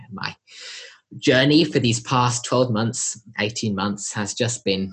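The voice moves at a very slow pace, somewhat breathy, with ordinary pitch variation. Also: man. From Australia (Sydney), born in southern England. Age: young. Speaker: conservationist. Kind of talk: interview.

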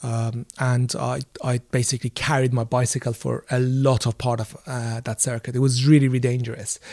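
This man talks at a moderate pace with hardly any pauses, his medium-pitched, somewhat breathy voice flat and monotone, recorded dry and close with no echo against a silent background in a very clean recording. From Iran. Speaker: filmmaker and adventurer. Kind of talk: interview. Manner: halting.

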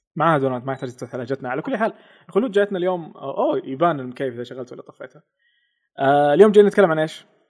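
Talking at a very fast pace, a man with a fairly high pitch uses lively intonation and big swings in loudness. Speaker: podcast host. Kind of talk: casual chat.

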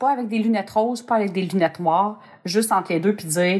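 A woman talks at a very fast pace. Her pitch is medium, with ordinary pitch variation. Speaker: podcast host. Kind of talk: casual chat.

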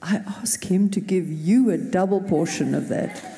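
A woman's somewhat breathy voice with a dark, mellow tone, ordinary pitch variation, and a fairly slow pace. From South Africa. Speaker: pastor. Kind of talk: prayer. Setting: church.

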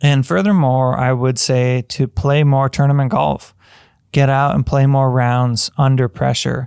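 A man with an American accent speaks at a fairly slow pace in a plain, everyday voice, with medium pitch, ordinary pitch variation and very even loudness. The recording is very clean with a silent background, and the sound is dry and close with no echo. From US Midwest, upper Michigan. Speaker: golf coach. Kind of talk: solo podcast monologue.

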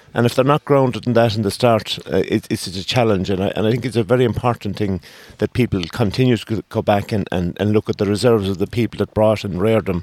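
A man speaks at a very fast pace in an Irish accent, with hardly any pauses. His pitch is fairly low, the intonation fairly even, and the sound dry and close with no echo. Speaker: politician. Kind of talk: casual chat. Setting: studio.

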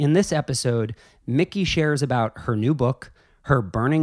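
On a very clean recording with a silent background, a man with an unremarkable speaking voice talks at a moderate pace in a medium pitch, with ordinary pitch variation. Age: 30s. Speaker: podcast host. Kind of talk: casual chat; scripted narration.

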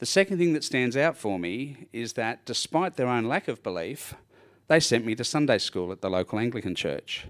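A man with an Australian accent talks at a moderate pace and medium pitch, his pitch swinging very widely. The recording is very clean, with a silent background. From Australia, Sydney. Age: 60s. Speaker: churchgoer giving testimony. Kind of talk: testimony. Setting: church.

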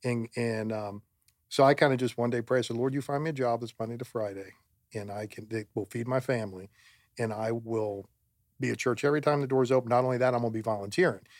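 A very fast man's voice with an American accent, medium pitch and fairly even intonation, on a very clean recording with a silent background. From Florida. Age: 50s. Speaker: church volunteer and father. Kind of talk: casual chat.

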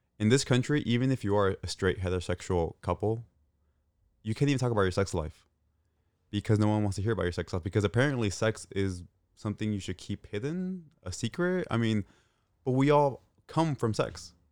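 A man with a fairly low voice talks at a fairly quick pace, his intonation lively and his delivery an unremarkable speaking voice. The recording is very clean, with a silent background. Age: 30s. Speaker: podcast guest. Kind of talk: casual chat.

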